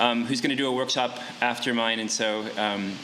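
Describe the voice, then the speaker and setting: Through noticeable background noise and audible room echo, a man speaks at medium pitch in a monotone, flat delivery. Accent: American. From western North Carolina (Yancey County, Appalachia). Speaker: old-time fiddler and workshop teacher. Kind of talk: music workshop talk. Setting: festival workshop with live audience. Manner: hesitant, many fillers and repeats.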